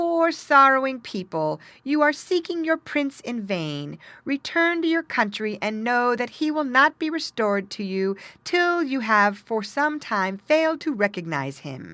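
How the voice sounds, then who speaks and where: In a put-on character voice, a female-sounding speaker with a high pitch projects and raises her voice at a moderate pace over a quiet background. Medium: read story.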